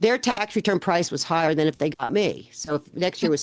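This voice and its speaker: A woman with an American accent has a plain, everyday voice at a fairly low pitch and lively intonation. She talks at a fairly quick pace, dry and close with no echo, over a quiet background. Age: 60s. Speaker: accountant and business owner. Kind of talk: interview podcast.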